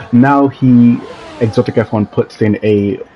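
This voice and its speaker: Noticeable background noise sits behind a man's voice. He speaks at a fairly slow pace with fairly even intonation. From Jamaica. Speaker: sim racing league commentator. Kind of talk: live commentary. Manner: frequent filler ums.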